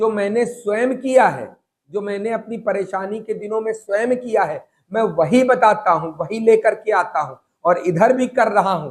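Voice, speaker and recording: Here a man talks at a high pitch. His pitch varies in an ordinary way. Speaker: spiritual guide. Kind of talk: religious talk. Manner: loud; animated.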